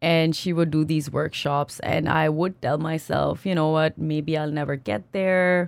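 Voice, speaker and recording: A woman's very deep, low voice, fairly even in intonation and very even in loudness, with hardly any pauses and noticeable background noise. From Pakistan. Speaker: product marketer. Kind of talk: interview. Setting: studio.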